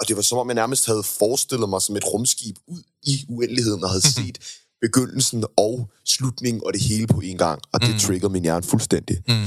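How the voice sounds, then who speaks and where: With ordinary pitch variation, the speaker keeps a moderate pace over music in the background. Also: man, medium pitch for a man. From Denmark, Køge. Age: 20s. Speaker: singer. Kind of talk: interview.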